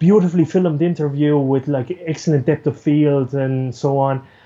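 This man speaks in an Irish accent at a fairly high pitch. His pace is moderate. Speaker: news producer and camera operator. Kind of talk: interview. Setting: remote call. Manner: animated.

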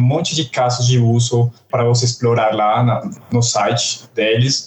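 Over noticeable background noise, a man speaks with a Colombian accent. His pitch is medium. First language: Spanish (speaking Portuguese). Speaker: software developer. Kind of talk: casual tech podcast discussion.

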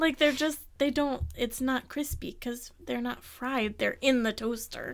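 Her intonation fairly even, a woman with an American accent speaks in a high pitch at a fairly slow pace. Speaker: podcast co-host. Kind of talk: casual chat.

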